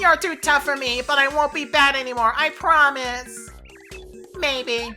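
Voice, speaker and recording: A put-on character voice at a moderate pace over clear music in the background. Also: woman, high pitch for a woman. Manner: grudging, mock-repentant.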